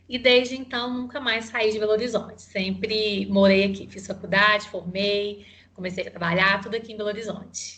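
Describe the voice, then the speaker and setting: A woman with a Minas Gerais accent speaks at a moderate pace in a bright, sharp tone and a medium pitch, her intonation fairly even and her words running on with hardly any pauses. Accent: Minas Gerais accent, noticeable. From Minas Gerais interior (Mutum), Brazil. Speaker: psychologist and HR consultant. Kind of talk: interview. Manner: halting, many fillers.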